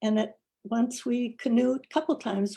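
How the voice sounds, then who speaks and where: A woman's dark, mellow tone, somewhat breathy, at a moderate pace. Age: 80s+. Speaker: congregation member. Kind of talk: personal reflection talk.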